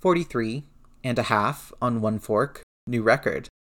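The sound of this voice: Quiet surrounds the speaker. It is an unforced reading voice.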